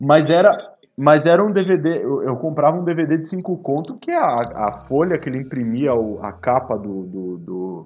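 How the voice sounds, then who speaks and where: Swinging his pitch very widely, a man with a fairly high voice talks at a moderate pace. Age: 30s. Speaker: podcast guest. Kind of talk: casual chat.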